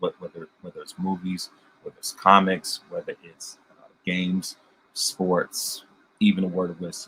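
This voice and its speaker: The man's voice has big swings in loudness, recorded with a dry, close sound and no echo. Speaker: podcast host. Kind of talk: casual review monologue. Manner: fast; halting, many repetitions.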